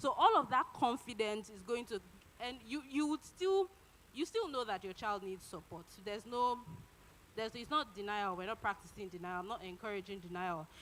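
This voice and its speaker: A woman's fairly high voice at a moderate pace, with lively intonation and big swings in loudness. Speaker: conference speaker. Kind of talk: conference talk. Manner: halting, many fillers.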